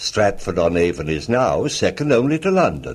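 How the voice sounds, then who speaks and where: At a moderate pace, a man's voice makes very wide pitch swings and shows vocal fry. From England. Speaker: actor. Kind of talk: radio story narration. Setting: old radio broadcast.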